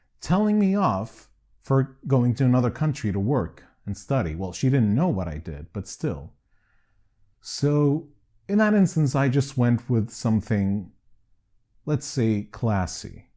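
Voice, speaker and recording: Recorded very cleanly against a silent background, a man with a Canadian accent speaks at medium pitch in a dark, mellow tone, fairly slowly, with very wide pitch swings and long, frequent pauses. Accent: Canadian-sounding English. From Greece. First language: Greek. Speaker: documentary filmmaker. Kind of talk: personal testimony.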